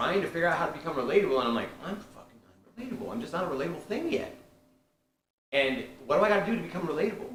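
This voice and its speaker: A man's high voice at a very fast pace, lively intonation, big swings in loudness, long, frequent pauses and audible room echo. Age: 50s. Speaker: group session host. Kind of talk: casual group discussion.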